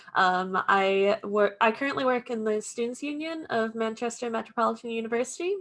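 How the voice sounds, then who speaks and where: Speaking at a moderate pace, a woman with an American accent has a fairly high pitch and a bright, sharp tone. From US Midwest, Iowa. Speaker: student union officer. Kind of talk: panel introduction.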